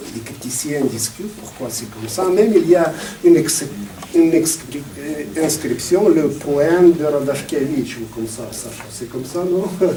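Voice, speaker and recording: With audible room echo and noticeable background noise, a man speaks at a fairly slow pace. His fairly high voice carries lively intonation. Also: big swings in loudness. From Moldova. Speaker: poetry evening host. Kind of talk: event presentation. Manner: halting.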